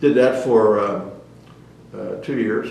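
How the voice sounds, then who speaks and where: A man talks amid noticeable background noise, and audible room echo fills the recording. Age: 80s+. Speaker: retired navy captain. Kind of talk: oral history interview. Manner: hesitant, many filler words.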